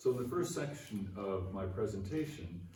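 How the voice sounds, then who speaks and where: With audible room echo, a man speaks at a fairly quick pace in a dark, mellow tone. His voice is somewhat breathy, with ordinary pitch variation. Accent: Canadian. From Canada. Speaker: philosophy professor. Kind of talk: conference keynote lecture. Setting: conference venue with aeroplane noise. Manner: formal.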